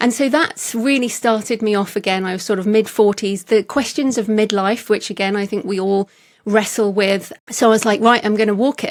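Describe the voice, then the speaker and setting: The speaker has a British accent and talks at a fairly quick pace with hardly any pauses. The recording is very clean, with a silent background. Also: woman. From England. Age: 50s. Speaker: author. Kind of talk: interview conversation.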